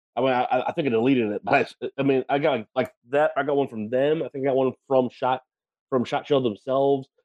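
A man with an American accent and a normal speaking voice, medium in pitch, with fairly even intonation at a fairly quick pace. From Wisconsin, US Midwest. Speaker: podcast co-host, gun enthusiast. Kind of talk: casual chat.

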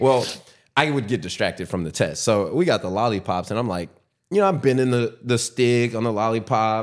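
A man's plain, everyday voice at a medium pitch, fairly quick and with lively intonation, on a very clean recording with a silent background. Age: 20s. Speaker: businessman guest sharing ADHD experience. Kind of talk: casual interview chat.

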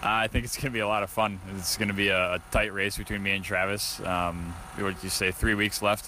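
Fairly low in pitch, a man talks at a fairly quick pace with fairly even intonation. There is noticeable background noise. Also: hardly any pauses. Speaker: race driver, late model champion. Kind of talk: post-race interview.

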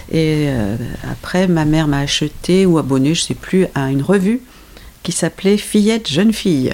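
A woman with a very deep, low voice speaks at a moderate pace with lively intonation over noticeable background noise. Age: 60s. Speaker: host's mother, reader. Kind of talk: casual chat.

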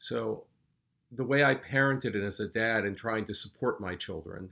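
A man's bright, sharp voice at medium pitch, with ordinary pitch variation, on a very clean recording with a silent background. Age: 60. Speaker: retired finance worker, father. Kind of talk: casual chat.

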